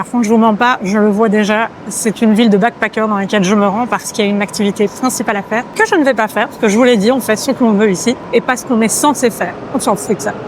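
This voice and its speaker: A woman with a fairly high pitch talks at a very fast pace, with hardly any pauses and fairly even intonation. Noticeable background noise runs underneath. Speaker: travel vlogger. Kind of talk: travel vlog narration.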